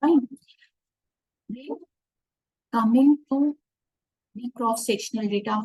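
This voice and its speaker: A woman speaks at a fairly slow pace in a fairly high, dark, mellow voice with ordinary pitch variation. The sound is dry with no echo, and the background is quiet. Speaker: professor of finance. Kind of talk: online workshop lecture. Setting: video call. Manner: quiet at first, then louder. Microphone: too quiet; webcam.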